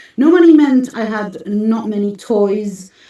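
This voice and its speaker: Medium in pitch, a woman's voice is an unremarkable speaking voice with lively intonation. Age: 50s. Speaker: spiritual teacher and artist. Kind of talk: interview.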